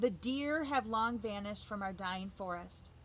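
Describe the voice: What we hear is plain reading aloud.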